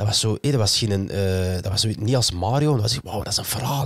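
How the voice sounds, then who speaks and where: Somewhat breathy and fairly low, a man's voice rushes at a very fast pace with ordinary pitch variation, the sound dry with no echo and the background quiet. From Flanders. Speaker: podcast host. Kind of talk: casual chat. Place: studio. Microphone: studio mic.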